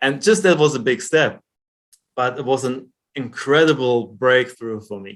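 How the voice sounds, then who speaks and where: A man with a German accent talks at a moderate pace and medium pitch. His loudness swings widely, while his pitch varies in an ordinary way. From Germany. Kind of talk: interview.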